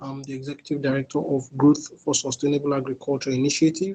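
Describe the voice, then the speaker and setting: A man's dark, mellow tone at fairly high pitch, fairly quick pace, and monotone, flat intonation. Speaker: NGO executive director and farmer. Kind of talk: closing address to training participants.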